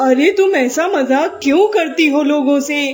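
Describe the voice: A cartoonish character voice, high in pitch, moves at a moderate pace over clear background noise.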